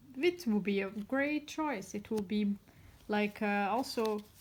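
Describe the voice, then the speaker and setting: At a fairly slow pace, a woman speaks with a non-native accent. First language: not English. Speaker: tarot reader. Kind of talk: tarot reading monologue. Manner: halting.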